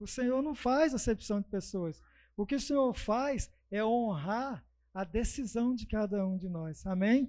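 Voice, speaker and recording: Here a man speaks at a fairly slow pace with a high pitch. His tone is dark and mellow, with ordinary pitch variation. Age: 50s. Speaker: guest preacher. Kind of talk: sermon.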